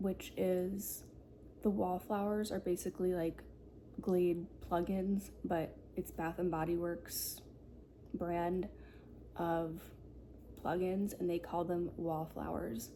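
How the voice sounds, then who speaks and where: Soft-spoken and relaxed, a woman talks at a very slow pace with long, frequent pauses. Her fairly low, dark, mellow voice holds very even loudness and fairly even intonation. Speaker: ASMR content creator. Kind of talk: ASMR show and tell. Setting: quiet apartment at night. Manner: soft-spoken, relaxed.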